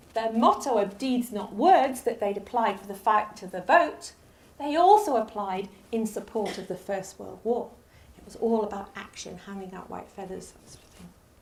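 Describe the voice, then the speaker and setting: Audible room echo surrounds a woman speaking at a moderate pace in a fairly high voice with ordinary pitch variation. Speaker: lecturer. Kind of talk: lecture.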